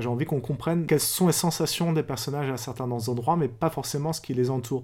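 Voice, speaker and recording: A man with a medium pitch speaks in a plain, everyday voice, with ordinary pitch variation. The recording is very clean, with a silent background. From France. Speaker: novelist and philosopher. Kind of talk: interview.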